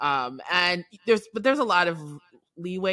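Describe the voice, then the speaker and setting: A woman with an American accent speaks at a fairly quick pace, her tone bright and sharp. Her intonation is lively, and the recording is very clean with a silent background. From New York City. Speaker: film writer and director. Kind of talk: interview.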